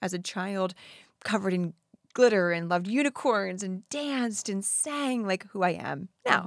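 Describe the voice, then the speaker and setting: Heard on a very clean recording with a silent background, a woman has a normal speaking voice. She speaks at medium pitch and a moderate pace with lively intonation. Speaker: wellness coach and podcast host. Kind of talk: casual interview chat.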